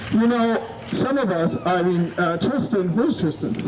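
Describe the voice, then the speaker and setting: A man's voice, with ordinary pitch variation, unfolds at a fairly slow pace while noticeable background noise carries on behind it. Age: 60s. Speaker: activist. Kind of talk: rally speech. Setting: outdoors. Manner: halting; animated.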